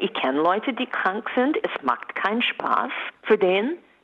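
A woman speaks fairly slowly, and her intonation is lively. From USA. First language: English (speaking German). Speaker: entertainer. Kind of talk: radio interview. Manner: animated.

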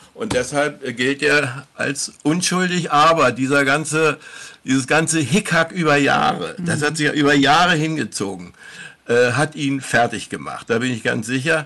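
A man talks at a moderate pace in a fairly high voice. His pitch varies an ordinary amount, and background noise is noticeable. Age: 70s. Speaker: former professional footballer. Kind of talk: interview. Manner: halting.

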